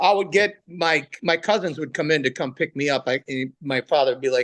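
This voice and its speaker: A man speaks at a moderate pace with a fairly high pitch and ordinary pitch variation. The sound is dry and close, with no echo. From Italian-American family. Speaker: comedian. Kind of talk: casual interview chat.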